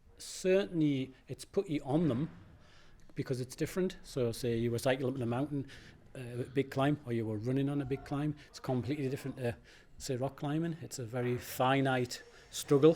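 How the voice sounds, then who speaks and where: At a fairly quick pace, a man speaks in a dark, mellow tone at medium pitch with ordinary pitch variation. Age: 60s. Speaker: rock climber. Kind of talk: interview.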